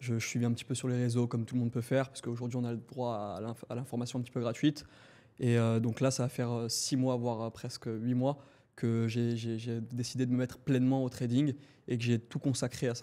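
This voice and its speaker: Flat and monotone, a man speaks fairly quickly at medium pitch with a dark, mellow tone. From southern France, Montpellier. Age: 20s. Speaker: trader and entrepreneur. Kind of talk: podcast interview.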